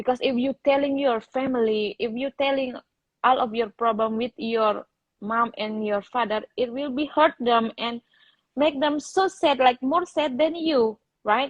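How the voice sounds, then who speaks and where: A woman speaks in a Balinese accent. Her pitch is high, with ordinary variation. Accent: Indonesian (Balinese). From Bali, Indonesia. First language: Indonesian or Balinese. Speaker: interviewee, program participant. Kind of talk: live interview. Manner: halting non-native English.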